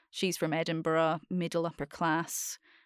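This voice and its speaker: A woman with a Scottish accent speaks at a fairly low pitch. The sound is dry and close with no echo, on a very clean recording with a silent background. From Scotland. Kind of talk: casual chat.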